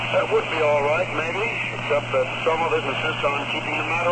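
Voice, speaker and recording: Talking very fast, the man can be heard against loud background noise. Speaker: radio announcer. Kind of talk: radio commentary statement. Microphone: old recording.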